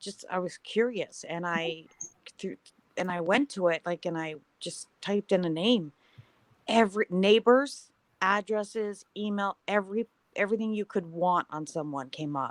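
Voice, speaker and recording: An unremarkable speaking voice with a Canadian accent moves at a moderate pace with ordinary pitch variation, in a dry, close sound with no echo. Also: woman, medium pitch for a woman. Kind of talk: casual chat.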